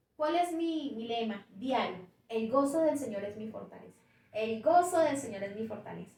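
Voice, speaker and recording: In a Bogotá accent, a woman speaks at a moderate pace and a fairly high pitch with lively intonation and big swings in loudness, amid audible room echo. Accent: Bogotá Colombian Spanish. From Bogotá, Colombia. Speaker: pastor. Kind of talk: testimony. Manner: repeats words, slight hesitations.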